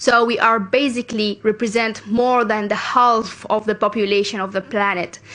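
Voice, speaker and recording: In a Sudanese accent, a woman speaks at a moderate pace with hardly any pauses, her fairly high voice monotone and flat against noticeable background noise. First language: Arabic. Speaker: youth climate activist. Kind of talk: conference speech. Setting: international conference stage. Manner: formal.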